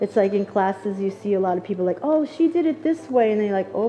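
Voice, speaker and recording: A woman with a Long Island accent talks at a medium pitch in very wide pitch swings, over noticeable background noise. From Long Island, New York. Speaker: hairdresser educator. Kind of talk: live demonstration tutorial.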